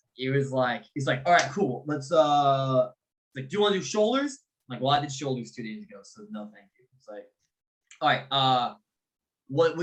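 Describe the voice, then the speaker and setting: A man talks at a fairly quick pace in a fairly high pitch with ordinary pitch variation. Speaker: fitness podcast co-host. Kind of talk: casual chat. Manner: loud; animated.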